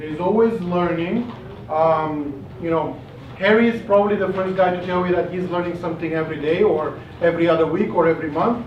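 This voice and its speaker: Over noticeable background noise and audible room echo, a man with a non-native accent speaks in a high pitch with ordinary pitch variation. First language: not English. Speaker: investor club organizer. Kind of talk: closing remarks to audience. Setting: pub meeting with audience.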